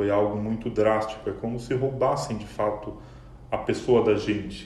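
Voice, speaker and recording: A man speaks at a fairly slow pace in a calm tone, his pitch fairly low. Noticeable background noise and audible room echo fill the recording. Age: 30s. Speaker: quality analyst, bereaved fiancé. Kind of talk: emotional testimony interview.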